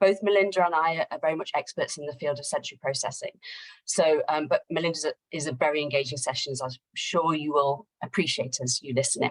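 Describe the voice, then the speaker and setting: Speaking very fast with a British accent, a woman uses a very deep, low pitch with ordinary pitch variation, recorded dry and close with no echo. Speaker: occupational therapist, assessment company director. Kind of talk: webinar introduction. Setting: online webinar. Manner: hesitant with many fillers.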